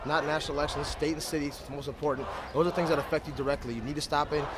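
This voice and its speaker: Over noticeable background noise and audible room echo, a man with fairly high pitch talks at a very fast pace. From South Dakota, Sioux Falls. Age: 20s. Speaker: protester, musician. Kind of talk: street interview.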